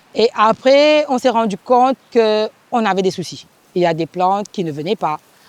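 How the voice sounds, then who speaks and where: A woman's fairly high voice with lively intonation at a moderate pace, in a dry, close sound with no echo. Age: 40s. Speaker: farm cooperative leader. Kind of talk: interview testimony. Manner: halting.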